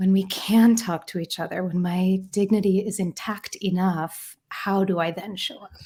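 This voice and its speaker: A soft-spoken, somewhat breathy woman at medium pitch, with a dark, mellow, gentle tone, fairly even intonation, big swings in loudness, a moderate pace and hardly any pauses, on a very clean recording with a silent background. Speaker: author and therapy facilitator. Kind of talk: podcast interview. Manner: soft and gentle.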